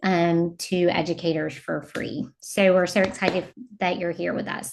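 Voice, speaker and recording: A woman speaks at a fairly low pitch in a monotone, flat intonation. Noticeable background noise runs underneath. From US South. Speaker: educator and instructional designer. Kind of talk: webinar presentation.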